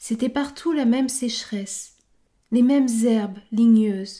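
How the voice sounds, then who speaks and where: Speaking very slowly, a woman has a fairly high pitch, fairly even intonation and a dark, mellow tone. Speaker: book club host for French learners. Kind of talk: literary audiobook reading. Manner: slow, measured, clear and steady, formal, evenly paced for learners.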